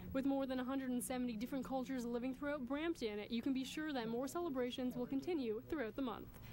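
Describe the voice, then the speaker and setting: Speaking at a very fast pace with hardly any pauses, a woman holds a high pitch, fairly even intonation and very even loudness. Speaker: news reporter. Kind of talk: TV news report.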